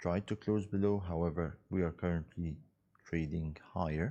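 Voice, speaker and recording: The tone is dark and mellow. The speech comes in an Arabic accent. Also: man. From Egypt. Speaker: financial markets analyst. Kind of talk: live webinar market analysis. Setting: live webinar. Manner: conversational, many fillers.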